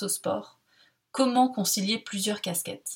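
A woman with a somewhat breathy, fairly high voice speaks with ordinary pitch variation. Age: 20s. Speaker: podcast host. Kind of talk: scripted narration.

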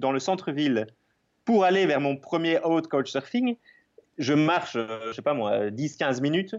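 In a Belgian accent, a man with a fairly high pitch talks at a moderate pace with lively intonation. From Belgium. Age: 30s. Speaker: travel photographer and Instagrammer. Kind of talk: interview.

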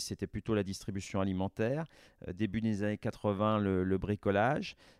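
A man talks with a normal speaking voice at a fairly low pitch and very even loudness. The recording is very clean, with a silent background and a dry, close sound with no echo. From France, Vendée. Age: 50s. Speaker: business executive. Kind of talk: interview.

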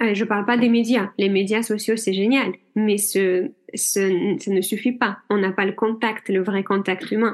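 A woman with a non-native accent speaks at a fairly slow pace and medium pitch, her intonation fairly even and her loudness very even, over a quiet background. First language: not French (speaking French). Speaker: general practitioner and hypnotherapist. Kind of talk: interview.

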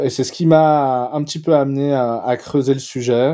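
On a very clean recording with a silent background, a man speaks very slowly in a dark, mellow tone with fairly even intonation. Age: 40s. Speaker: fintech founder and CEO. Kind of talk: interview. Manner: hesitant, many filler sounds.

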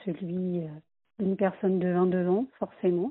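The voice belongs to a woman. Its pitch is medium. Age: 40s. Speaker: job seeker giving testimony. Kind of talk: recorded testimony.

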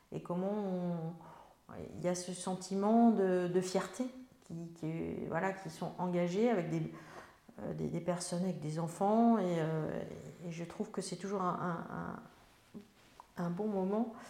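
Speaking at a very slow pace with long, frequent pauses, a woman with a dark, mellow tone and a fairly low pitch keeps her intonation fairly even, and room echo is audible. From France, Melun (Seine-et-Marne). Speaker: member of parliament. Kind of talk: interview. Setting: on location in her town.

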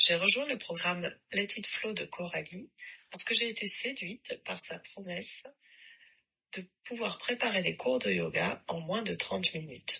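A woman of medium pitch talks at a fairly slow pace with lively intonation, big swings in loudness and long, frequent pauses. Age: 40s. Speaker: yoga teacher. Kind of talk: recorded voice message testimony.

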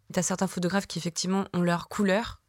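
On a very clean recording with a silent background, a woman speaks at a fairly quick pace in a monotone, flat intonation, the sound dry and close with no echo. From southern France, near Marseille. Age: 30s. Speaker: photographer. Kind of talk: interview monologue, personal storytelling. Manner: hesitant, many fillers.

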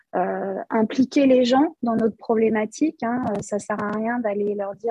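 With a fairly high pitch and ordinary pitch variation, this woman talks at a moderate pace in a somewhat breathy voice. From Paris region, France. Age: 50s. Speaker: operations manager in industry. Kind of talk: interview podcast. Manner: hesitant, many fillers and repetitions.

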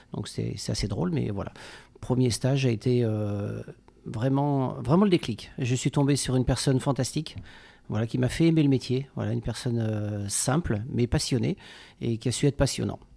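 The tone is dark and mellow. The pace is moderate, with ordinary pitch variation. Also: man, medium pitch for a man. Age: 40s. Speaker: pastry chef. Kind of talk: interview.

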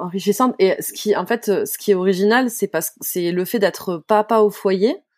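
A woman with an ordinary speaking voice and medium pitch talks at a fairly slow pace in a very clean recording with a silent background. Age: 30s. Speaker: podcast host. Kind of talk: casual interview; scripted narration.

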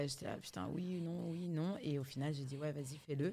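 A woman with a very deep, low pitch speaks in an animated tone at a moderate pace, her pitch varying in an ordinary way. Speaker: singer and fitness/life coach. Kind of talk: casual interview chat. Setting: hotel in Paris. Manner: animated, big laugh.

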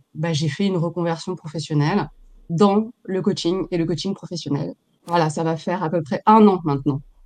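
A woman with a plain, everyday voice, fairly low pitch and ordinary pitch variation, at a moderate pace. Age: 40s. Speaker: professional coach. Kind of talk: interview.

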